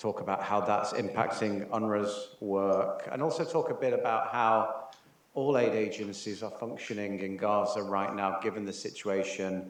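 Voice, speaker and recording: Amid noticeable background noise and audible room echo, a man speaks at a fairly slow pace and a fairly low pitch with ordinary pitch variation. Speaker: UN humanitarian official. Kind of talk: conference talk. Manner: soft-spoken; halting.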